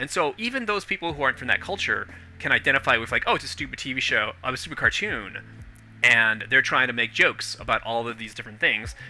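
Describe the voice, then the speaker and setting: Over music in the background, a man speaks at a medium pitch and a very fast pace with lively intonation. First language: not English. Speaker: podcast host. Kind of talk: casual chat. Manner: halting.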